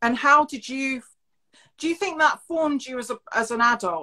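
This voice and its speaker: On a very clean recording with a silent background, a woman speaks at a moderate pace in a high, bright, sharp voice with big swings in loudness. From Scotland. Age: 30s. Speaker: DJ and interview host. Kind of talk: interview.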